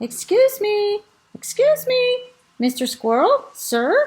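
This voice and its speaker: A put-on character voice, squeaky and extremely high in pitch. It moves along at a very slow pace. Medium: read story. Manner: slow, polite.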